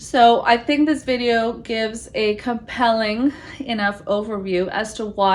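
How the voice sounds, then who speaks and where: Her intonation fairly even, a woman talks at a fairly high pitch. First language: not English; English is her third language. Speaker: business lawyer and channel host. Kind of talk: direct-to-camera talk.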